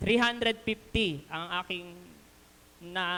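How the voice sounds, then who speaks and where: At a fairly slow pace, a woman talks. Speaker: lay preacher, elementary school teacher. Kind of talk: sermon. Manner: loud.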